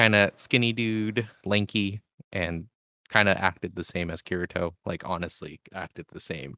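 At a moderate pace, a man with a fairly low pitch, ordinary pitch variation and a bright, sharp tone speaks on a very clean recording with a silent background. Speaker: podcast co-host. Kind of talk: casual chat.

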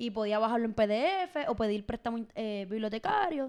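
An ordinary speaking voice from a woman, fairly high in pitch, with ordinary pitch variation and a fairly slow pace. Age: 20s. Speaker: podcast host. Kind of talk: casual chat.

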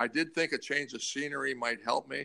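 This man has a bright, sharp tone with vocal fry, speaking at a moderate pace with ordinary pitch variation. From Ontario, Canada (North Bay). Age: 60s. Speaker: former hockey player. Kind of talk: casual interview.

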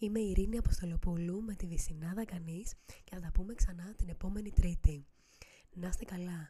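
A woman speaks at a moderate pace and medium pitch, somewhat breathy with a dark, mellow tone, fairly even intonation and big swings in loudness. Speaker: podcast host. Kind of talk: casual monologue.

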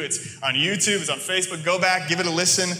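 Over noticeable background noise, a man with an American accent speaks in a high pitch. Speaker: preacher. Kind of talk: sermon. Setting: church with congregation.

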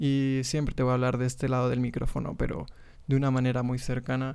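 A dark, mellow tone carries words delivered fairly quickly. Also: man. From Mexico, Monterrey. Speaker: podcast host, graphic designer. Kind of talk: casual monologue. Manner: hesitant, many fillers.

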